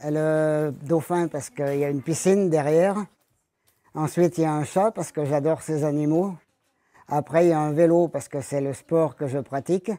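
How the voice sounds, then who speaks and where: At a moderate pace, a man talks with fairly even intonation, a fairly high pitch and a dark, mellow tone. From France, Isère (Dauphiné). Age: 70s. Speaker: retired ironworker. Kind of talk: interview by schoolchildren. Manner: casual, slightly halting.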